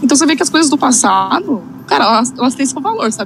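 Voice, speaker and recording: A woman's high voice at a very fast pace with ordinary pitch variation over noticeable background noise. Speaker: film podcast co-host. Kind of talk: casual chat. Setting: live stream.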